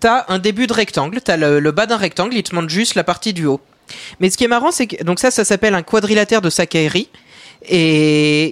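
A man with a slight Belgian accent, high-pitched and lively in intonation, at a fairly quick pace, with a dry, close sound with no echo on a very clean recording against a silent background. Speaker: math columnist. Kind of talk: casual explanatory panel chat.

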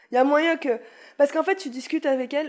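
A woman's very fast delivery with ordinary pitch variation. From Paris (Montmartre). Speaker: comedian. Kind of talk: casual chat.

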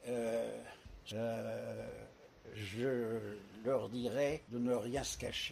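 Very slowly and with long, frequent pauses, a man speaks amid audible room echo and noticeable background noise. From Paris, France. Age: 90s. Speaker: retirement home resident, widower. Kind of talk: interview, life story. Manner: hesitant, frequent fillers and repetitions.

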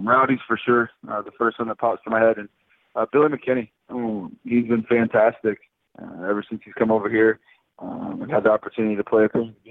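An American-accented man speaks at a medium pitch with monotone, flat intonation. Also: big swings in loudness. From South Florida. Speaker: professional baseball player. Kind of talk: interview.

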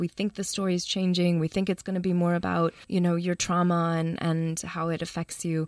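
Monotone, flat intonation marks a woman with an American accent who speaks at a fairly quick pace and a fairly low pitch, heard in a dry, close sound with no echo on a very clean recording with a silent background. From US Midwest, Chicago. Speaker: documentary filmmaker. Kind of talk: interview.

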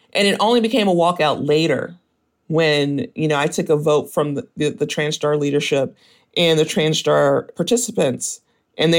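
In an American accent, a man with an ordinary speaking voice talks at a fairly quick pace and a fairly high pitch. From US South, Mississippi and Memphis, Tennessee. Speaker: former tech employee, activist. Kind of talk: interview.

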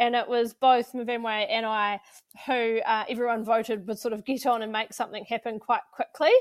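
The recording is very clean with a silent background as a woman speaks in a New Zealand accent, her fairly high voice monotone with flat intonation. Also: moderate pace. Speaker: agriculture podcast co-host. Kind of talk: casual chat.

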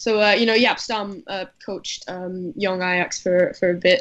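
At a moderate pace, a woman with a medium pitch speaks in a fairly even intonation. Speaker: football writer. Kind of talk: panel discussion. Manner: halting, filler-heavy.

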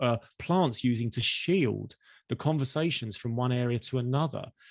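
A man's medium-pitched voice, an unremarkable speaking voice, with ordinary pitch variation and a moderate pace. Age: 50s. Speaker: marketing executive. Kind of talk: interview.

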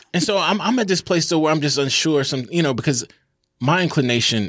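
A man's fairly high, bright, sharp voice at a fairly quick pace, with lively intonation. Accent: Mississippi. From US South, Jackson, Mississippi. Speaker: author and English professor. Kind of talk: casual interview.

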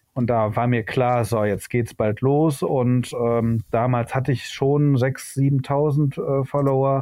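A man talks very slowly at a medium pitch, with hardly any pauses. His intonation is fairly even and his loudness very even. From Germany, Hamburg / Düsseldorf area. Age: 40s. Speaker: photographer, trained master painter. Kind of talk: casual chat. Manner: halting, many filler sounds.

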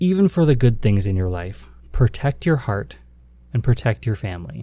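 Speaking at a moderate pace, a man has a fairly low pitch, a dark, mellow tone and a somewhat breathy quality, in a very clean recording with a silent background. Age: 30s. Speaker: podcast host, travel advisor. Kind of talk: casual devotional monologue.

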